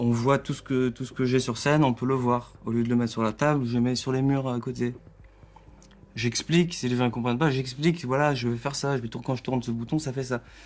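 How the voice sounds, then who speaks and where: Talking at a fairly quick pace, a man keeps a medium pitch with monotone, flat intonation. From Alsace, France. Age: 20s. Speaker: electronic musician. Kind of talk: therapy session conversation. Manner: halting.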